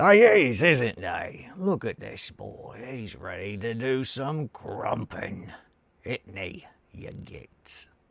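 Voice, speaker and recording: A man speaks very slowly in a put-on character voice, raspy and at a medium pitch. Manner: gruff, grumbling.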